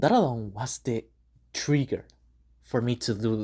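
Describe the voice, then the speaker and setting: The voice has a non-native accent and a dark, mellow tone. It moves at a fairly slow pace with fairly even intonation. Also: woman. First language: not English. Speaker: gaming video creator. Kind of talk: unscripted casual monologue. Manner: halting, with many fillers.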